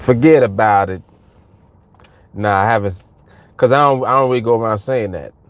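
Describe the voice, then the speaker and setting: A man with an American accent speaks at a fairly quick pace and medium pitch, with ordinary pitch variation. He takes long, frequent pauses, and his loudness swings widely. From New York. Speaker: trading coach. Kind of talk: live stream chat with viewers. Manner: casual, animated.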